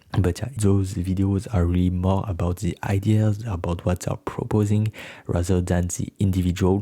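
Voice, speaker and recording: A man with a French accent speaks at a very deep, low pitch in a dark, mellow, somewhat breathy tone, on a very clean recording with a silent background and a dry, close sound with no echo. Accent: non-native, French. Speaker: YouTuber, political explainer. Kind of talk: informative announcement video. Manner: slightly halting non-native delivery.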